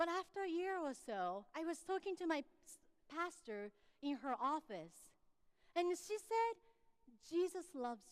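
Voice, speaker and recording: With a Japanese accent, a woman speaks at a fairly slow pace in an extremely high voice, with very wide pitch swings, big swings in loudness and long, frequent pauses. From Japan, Tokyo. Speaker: pastor. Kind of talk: sermon.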